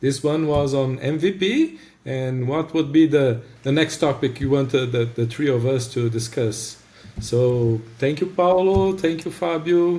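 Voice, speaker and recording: A man with a Brazilian accent speaks at a fairly slow pace and fairly high pitch, his dark, mellow tone somewhat breathy, with ordinary pitch variation. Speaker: podcast host. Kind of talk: casual chat.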